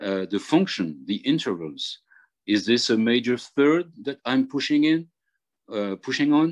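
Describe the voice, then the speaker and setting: Against a quiet background, a man in a French accent talks at a fairly slow pace, with a medium pitch and very wide pitch swings. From Réunion island. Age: 50s. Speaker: jazz harmonica player. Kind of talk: workshop tutorial. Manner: halting.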